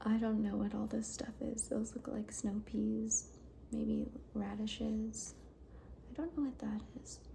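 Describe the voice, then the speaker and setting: The speaker talks softly in a relaxed tone at a fairly slow pace. Noticeable noise sits in the background. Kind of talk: ASMR cookbook flip-through, soft-spoken talk to camera. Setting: lo-fi home recording. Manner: soft-spoken, quiet, relaxed.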